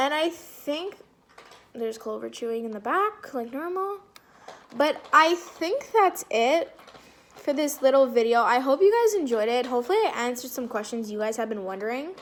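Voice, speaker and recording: A loud, animated woman at a high pitch with very wide pitch swings and a moderate pace. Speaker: vlogger. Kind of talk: casual Q&A vlog.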